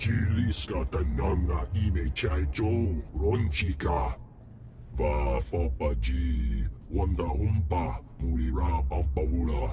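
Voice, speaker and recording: Over loud background noise, a man uses a put-on character voice with a very deep, low pitch and a fairly slow pace. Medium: video game. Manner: speaks only alien gibberish language.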